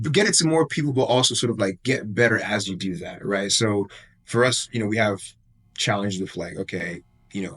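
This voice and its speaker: Speaking at a fairly quick pace, a man with a fairly low voice and lively intonation has an unremarkable speaking voice. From Nigeria, Lagos; moved to US at ten. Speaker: apparel brand founder. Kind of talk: interview / casual conversation. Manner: casual, many fillers.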